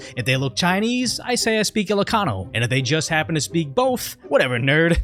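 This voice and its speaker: Talking fairly quickly with very wide pitch swings, a man is heard against noticeable background noise. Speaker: political commentary youtuber. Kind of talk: scripted commentary narration. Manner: sarcastic.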